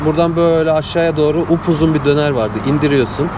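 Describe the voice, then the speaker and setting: Noticeable background noise lies under a man's fairly high voice. He talks at a fairly quick pace with fairly even intonation. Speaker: travel vlogger. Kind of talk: casual chat.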